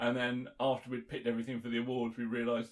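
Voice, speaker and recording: A man's medium-pitched voice at a very fast pace. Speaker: podcast host, car show organiser. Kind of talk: casual chat. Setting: podcast recording.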